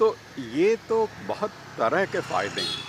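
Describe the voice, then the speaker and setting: Very wide pitch swings from a man over noticeable background noise. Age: 60s. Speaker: cycling enthusiast. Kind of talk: interview.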